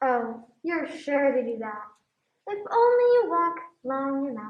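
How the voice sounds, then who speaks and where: A put-on character voice, female-sounding and high-pitched, moves at a fairly slow pace. There is a slight echo. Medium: stage play. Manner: teasing, unhurried.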